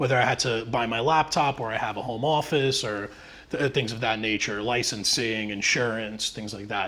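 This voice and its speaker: Ordinary pitch variation from a man at a fairly quick pace. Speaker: tax professional presenting to real estate agents. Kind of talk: live presentation. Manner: fast.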